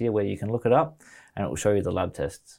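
On a very clean recording with a silent background, a man with an Australian accent speaks in a dark, mellow tone at a fairly low pitch with ordinary pitch variation. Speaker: mushroom products business founder. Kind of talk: casual interview chat.

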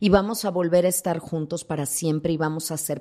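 The pitch varies in an ordinary way. It is an ordinary speaking voice. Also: woman. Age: 50s. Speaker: thanatologist. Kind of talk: interview.

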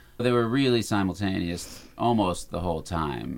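A man's fairly quick speech with ordinary pitch variation. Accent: American. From Arizona, Tucson. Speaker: musician and music producer. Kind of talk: casual interview. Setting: home recording studio.

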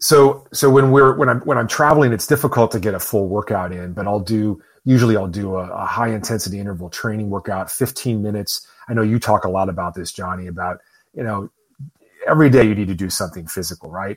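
Very fast talk from a man, ordinary in its pitch variation. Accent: Midwestern American. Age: 50s. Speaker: author and entrepreneur. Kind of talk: casual chat.

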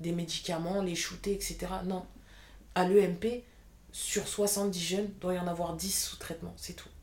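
The woman talks at a fairly slow pace. Her intonation stays monotone and flat. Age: 20s. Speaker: apprentice childcare assistant. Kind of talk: interview testimony.

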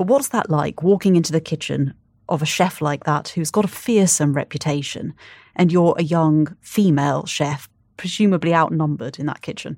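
On a very clean recording with a silent background, a woman with a very deep, low pitch talks at a moderate pace with ordinary pitch variation. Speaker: podcast host and editor. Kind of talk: interview.

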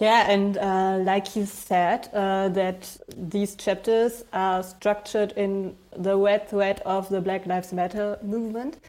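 A woman speaks at a very slow pace with a German accent, her medium pitch held in a monotone, flat intonation and hardly any pauses. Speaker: podcast host. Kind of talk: interview.

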